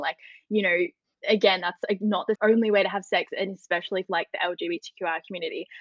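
Here a woman speaks with an Australian accent at medium pitch. Her pace is fairly quick. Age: 20s. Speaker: journalist and student women's committee organiser. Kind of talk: casual interview.

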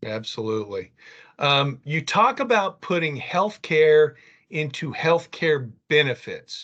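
Very slow in pace, a man talks at a fairly high pitch with very wide pitch swings. His tone is bright and sharp. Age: 60s. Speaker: podcast host. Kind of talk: interview.

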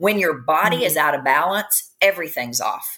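A woman with a bright, sharp tone talks at a fairly quick pace with lively intonation. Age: 50s. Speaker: functional medicine practitioner. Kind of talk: interview.

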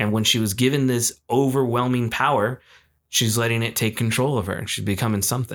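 An unremarkable speaking voice from a man, medium in pitch, moves at a fairly quick pace with fairly even intonation on a very clean recording with a silent background. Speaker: podcast co-host. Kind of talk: casual chat between friends, movie debate.

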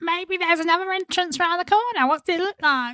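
An extremely high, squeaky put-on character voice at a very fast pace. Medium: actual play.

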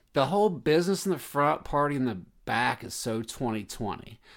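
A man speaks at a moderate pace with a fairly high pitch and lively intonation in an ordinary speaking voice. The recording is very clean, with a silent background. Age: 40s. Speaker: podcast co-host. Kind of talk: casual chat.

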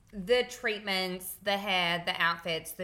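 Speaking very slowly in an Australian accent, a woman uses a fairly low, bright, sharp voice with ordinary pitch variation. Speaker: podcast co-host. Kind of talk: casual chat.

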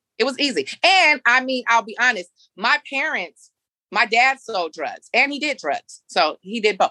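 A woman with an American accent speaks at a moderate pace in a high pitch and a bright, sharp tone, her pitch swinging very widely. The sound is dry and close with no echo. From San Francisco, US. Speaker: nonprofit founder and youth mentor. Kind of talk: interview.

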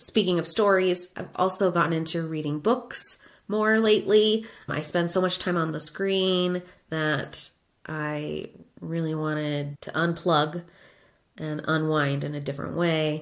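On a very clean recording with a silent background, a woman with an American accent and a plain, everyday voice speaks at a fairly slow pace with ordinary pitch variation. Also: fairly low pitch for a woman. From Florida. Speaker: podcast host, former teacher turned UX designer. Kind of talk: solo podcast monologue.

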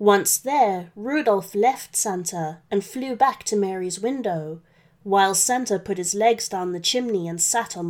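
The reading voice sounds natural.

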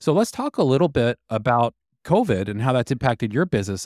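A man's normal speaking voice with an American accent, medium in pitch, lively in intonation, at a fairly quick pace, dry and close with no echo, on a very clean recording with a silent background. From Texas. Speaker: guest podcast host, interviewer. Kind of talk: interview.

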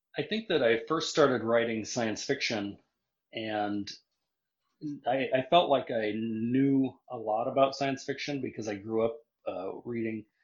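A man with an American accent and a plain, everyday voice speaks at a moderate pace, medium in pitch with ordinary pitch variation. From Nebraska, US Midwest. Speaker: western and crime author. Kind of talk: casual interview; reading aloud from own book.

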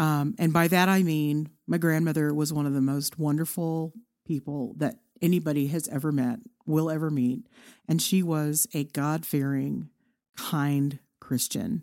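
Recorded very cleanly with a silent background, a woman with a Texan accent talks fairly slowly in a very deep, low pitch. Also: ordinary pitch variation. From Texas, Irving (Dallas area). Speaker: podcaster. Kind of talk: interview.

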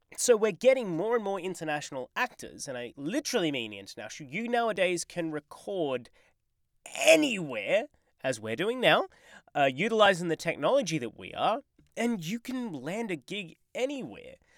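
The speaker talks at a moderate pace in an Australian accent, in a very clean recording with a silent background. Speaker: podcast co-host. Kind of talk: casual chat. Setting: home recording booth.

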